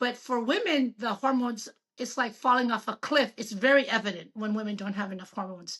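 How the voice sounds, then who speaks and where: A woman with a normal speaking voice talks at a fairly quick pace, her fairly high pitch showing ordinary variation. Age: 60s. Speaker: physician. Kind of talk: casual interview.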